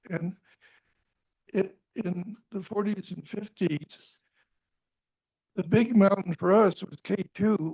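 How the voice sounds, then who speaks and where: In a very slow delivery broken by long, frequent pauses, a man with an American accent speaks at a high pitch with fairly even intonation. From US West, Wyoming (Jackson Hole). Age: 80s+. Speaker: mountain climber. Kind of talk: panel discussion.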